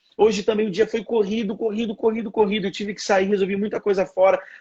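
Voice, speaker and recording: A man talks at a fairly quick pace with a high pitch. His intonation is monotone and flat. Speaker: communication speaker. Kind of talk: live stream interview. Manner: halting, frequent restarts.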